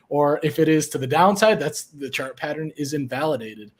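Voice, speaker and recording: At a fairly quick pace, a normal speaking voice carries ordinary pitch variation. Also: man. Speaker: trading educator, webinar host. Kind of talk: casual trading webinar discussion.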